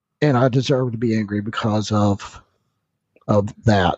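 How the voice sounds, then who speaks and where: A man with an American accent speaks at a medium pitch with fairly even intonation. His voice is somewhat breathy. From US South, North Carolina. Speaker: listener and commenter. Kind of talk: casual chat. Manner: halting.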